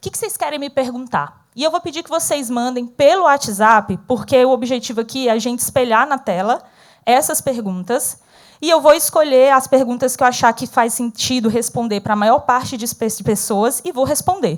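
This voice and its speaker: A woman with a northeastern Brazilian accent speaks at a moderate pace in a high pitch, her animated tone carrying lively intonation and big swings in loudness over a very clean recording with a silent background. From Northeast Brazil. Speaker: speaker, former corporate manager. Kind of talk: interactive talk to an audience.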